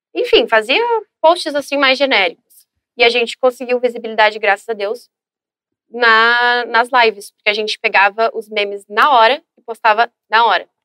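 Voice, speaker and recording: In a southern Brazilian accent, a woman speaks at a fairly high pitch and a moderate pace with fairly even intonation. Her tone is bright and sharp, and the sound is dry and close with no echo. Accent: southern Brazilian (gaúcho) Portuguese. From Brazil, Rio Grande do Sul (São Leopoldo). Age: 20s. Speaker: social media influencer. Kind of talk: casual interview. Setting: studio.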